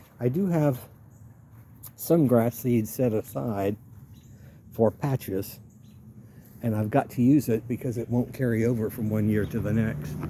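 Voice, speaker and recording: This man has a dark, mellow, relaxed tone at a medium pitch, sounding somewhat breathy, with lively intonation at a fairly slow pace. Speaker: home gardener. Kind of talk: casual talk to camera, garden walk-through. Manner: relaxed, conversational.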